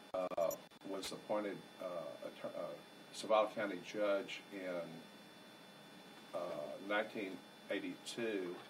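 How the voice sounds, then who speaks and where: A man's fairly slow speech in a Texan accent, with audible room echo and noticeable background noise. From South Texas. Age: 60s. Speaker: retired judge. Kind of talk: family oral history interview. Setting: at a family member's house. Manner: halting, many fillers.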